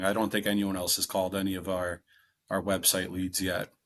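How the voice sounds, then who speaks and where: A man speaks at a fairly quick pace in a fairly low pitch, with a slight Wisconsin accent and a quiet background. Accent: slight local Wisconsin. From Wisconsin, US. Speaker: real estate investor. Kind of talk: interview.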